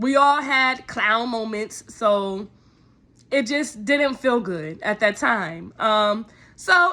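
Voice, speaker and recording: Speaking with ordinary pitch variation, a woman sounds animated, her tone bright and sharp. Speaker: YouTuber. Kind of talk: storytime vlog. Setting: at home in apartment.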